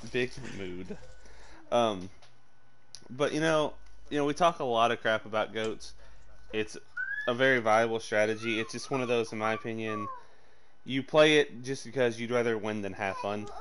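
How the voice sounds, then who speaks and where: At a moderate pace, a man speaks with long, frequent pauses, medium pitch and ordinary pitch variation. Noticeable background noise is present. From US South. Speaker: esports caster. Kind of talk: live commentary. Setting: live stream.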